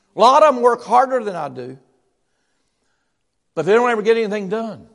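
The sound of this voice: With big pitch swings and vocal fry, the speaker keeps a fairly quick pace and a fairly bright tone. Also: man, high pitch for a man.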